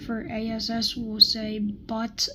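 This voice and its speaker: A woman's quiet, fairly high-pitched voice. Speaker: youtuber ranking videos. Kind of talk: casual commentary. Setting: on vacation, at night. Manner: hesitant, many fillers.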